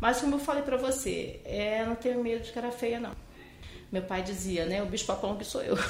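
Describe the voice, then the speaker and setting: The woman's voice is fairly high in pitch, moving at a fairly quick pace with ordinary pitch variation. Noticeable background noise and audible room echo surround her. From Brazil, Amazonas (Manaus). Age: 50s. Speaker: physician. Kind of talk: interview.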